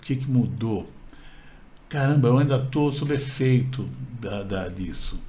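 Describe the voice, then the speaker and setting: There is audible room echo around this man's voice. His tone is dark and mellow at medium pitch, with vocal fry. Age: 60s. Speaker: channel co-host. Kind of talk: personal storytelling. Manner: halting, with repetitions.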